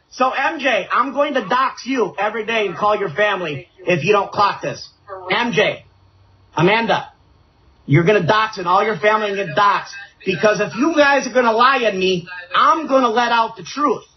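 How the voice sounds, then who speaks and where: A high-pitched man at a moderate pace with lively intonation, noticeable background noise behind him. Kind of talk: heated debate. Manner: repetitive, agitated. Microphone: echo from his speakers.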